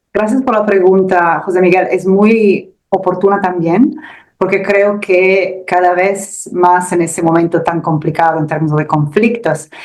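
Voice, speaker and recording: A woman with an Italian accent talks at a medium pitch with ordinary pitch variation. Her loudness stays very even. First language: Italian (speaking Spanish). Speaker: security research analyst. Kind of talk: expert interview. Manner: halting, with repetitions.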